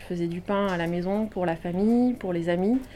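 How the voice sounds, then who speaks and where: This is a woman's voice at medium pitch. Its tone is dark and mellow. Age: 30s. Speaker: former journalist retraining as baker. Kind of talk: interview testimony.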